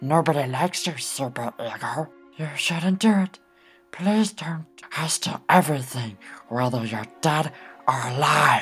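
A put-on character voice comes at a moderate pace over faint music in the background. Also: man, fairly high pitch for a man. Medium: dub. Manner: pleading, excitable.

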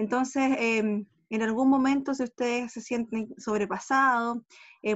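A woman's high voice with fairly even intonation against a quiet background. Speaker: school secretary. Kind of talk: virtual welcome meeting. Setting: video call. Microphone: video call.

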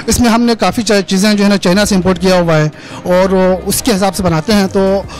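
A man talks in a high voice with fairly even intonation. There is light background noise, and the sound is dry with no echo. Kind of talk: interview answer. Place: kitchen. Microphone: handheld.

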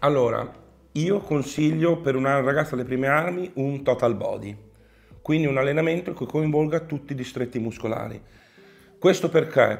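Talking at a fairly quick clip with ordinary pitch variation, a man is heard over faint background music. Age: middle-aged. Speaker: professional bodybuilder and online coach; online coach. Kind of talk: casual Q&A chat. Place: home room.

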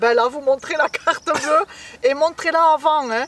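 At a moderate pace, a woman speaks high-pitched in a fairly bright tone with ordinary pitch variation.

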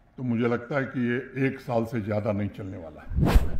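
With audible room echo, a man speaks at a fairly slow pace and ordinary pitch variation. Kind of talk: public speech. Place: hall. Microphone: podium.

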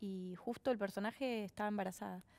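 A woman speaks with a Rioplatense accent. Her pitch is fairly high. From Argentina. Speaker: actress. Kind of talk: casual chat. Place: studio. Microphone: headset.

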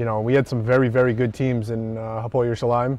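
A man talks with a dry sound that has no echo. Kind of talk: interview answer. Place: stadium. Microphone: lapel.

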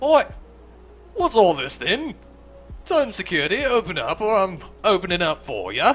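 In a gruff, put-on character voice of fairly high pitch, the speaker moves at a moderate pace with very wide pitch swings and long, frequent pauses while music plays clearly in the background. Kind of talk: informal. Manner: yelling.

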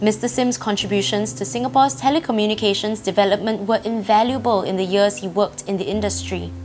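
Over noticeable background noise, a woman at a medium pitch races along at a very fast pace with hardly any pauses and lively intonation. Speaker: theatre actress. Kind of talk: documentary narration.

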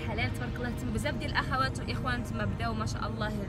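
A woman at a very fast clip, loud music behind her, the sound dry with no echo. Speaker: vlogger. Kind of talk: casual vlog talk. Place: car. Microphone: phone near.

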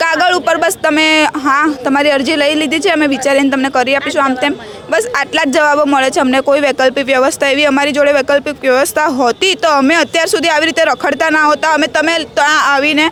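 A high female voice at very even loudness, with noticeable background noise. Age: young. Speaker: demolition victim. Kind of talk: interview testimony. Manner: animated.

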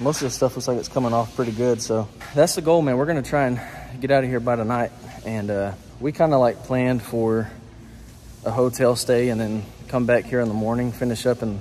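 The man talks at a fairly quick pace with fairly even intonation. Light background noise can be heard. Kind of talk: casual vlog chat. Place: factory. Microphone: phone near.

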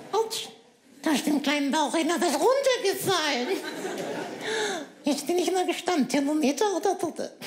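A man's put-on character voice at an extremely high pitch, moderate pace, with long, frequent pauses. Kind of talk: comic ventriloquist act. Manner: cheeky, insulting, quick-witted.

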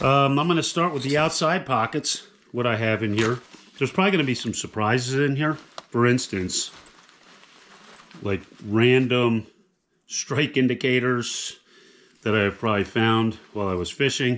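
Long, frequent pauses break up a man's speech. His pitch varies in an ordinary way. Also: moderate pace. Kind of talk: casual show-and-tell tutorial. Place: home room. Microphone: camera far.

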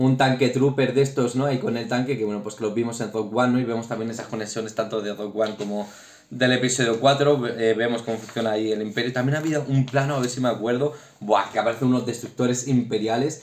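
A man talks at a fast pace with a medium pitch. His tone is slightly mellow and his intonation fairly even.

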